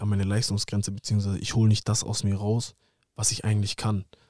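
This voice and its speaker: Over a quiet background, a man talks at a very fast pace with a fairly low pitch. His tone is dark and mellow, and the sound is dry with no echo. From Germany, Hamburg; Germany. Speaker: professional footballer; podcast guest. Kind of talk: casual interview. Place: studio. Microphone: studio mic.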